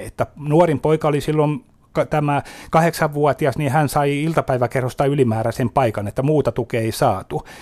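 A man with fairly high pitch, a fairly slow pace and fairly even intonation. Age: 50s. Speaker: memory disease patient advocate. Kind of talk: radio interview. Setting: studio. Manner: halting.

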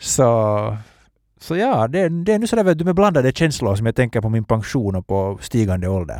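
On a very clean recording with a silent background, a man speaks at a moderate pace. His medium-pitched voice makes very wide pitch swings. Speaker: podcast host. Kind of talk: casual chat.

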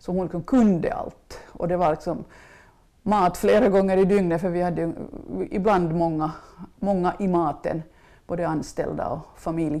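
In a very clean recording with a silent background, a woman with a fairly low pitch and a dark, mellow tone speaks at a fairly slow pace, with fairly even intonation and long, frequent pauses. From Finland, western Uusimaa (Swedish-speaking, Ekenäs area). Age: 60s. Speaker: food writer and former journalist. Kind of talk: interview, casual chat. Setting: home kitchen.

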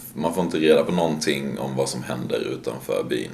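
A man speaks at a moderate pace amid audible room echo and noticeable background noise. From Sweden. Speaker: ski bum. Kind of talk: interview.

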